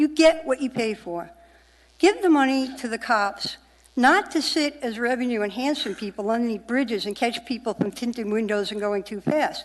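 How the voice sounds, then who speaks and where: With a New York accent, a woman speaks at a moderate pace in a high pitch. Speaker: member of the public testifying. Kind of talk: public testimony. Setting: municipal assembly meeting. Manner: animated.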